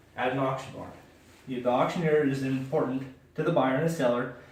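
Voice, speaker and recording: With fairly even intonation, a man talks at a moderate pace in a medium pitch while noticeable background noise plays behind him. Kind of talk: informative speech to an audience. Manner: clear, explanatory.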